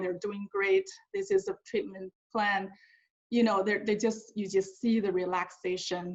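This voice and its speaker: In a Mandarin accent, a woman speaks at a fairly slow pace. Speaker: hospital staff member. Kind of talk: webinar talk, personal story. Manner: halting, many repetitions.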